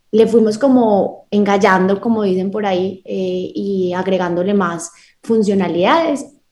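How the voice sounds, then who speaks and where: A normal speaking voice from a woman, medium pitch, ordinary pitch variation, fairly slow pace. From Colombia, Medellín. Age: 20s. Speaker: lawyer and startup founder. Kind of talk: radio interview.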